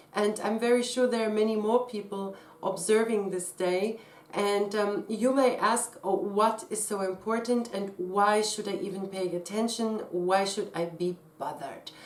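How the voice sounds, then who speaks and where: Speaking with a non-native accent at a fairly slow pace, a woman shows ordinary pitch variation amid audible room echo. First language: not English. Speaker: astrologer and tarot reader. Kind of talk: casual explanatory talk to camera.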